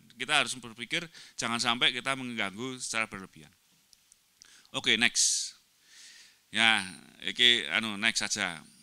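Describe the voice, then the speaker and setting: Against a quiet background, a man talks at a moderate pace with ordinary pitch variation and long, frequent pauses. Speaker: agriculture professor; presenter. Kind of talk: academic presentation. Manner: halting, many fillers. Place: hall. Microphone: handheld.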